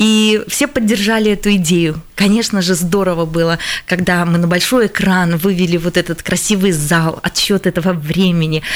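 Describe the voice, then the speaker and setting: The speaker keeps a moderate pace and ordinary pitch variation. Loudness stays very even throughout. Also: woman, medium pitch for a woman. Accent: Latvian. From Latvia. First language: Latvian (speaking Russian). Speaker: language teachers' association head. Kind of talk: radio studio discussion. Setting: radio studio.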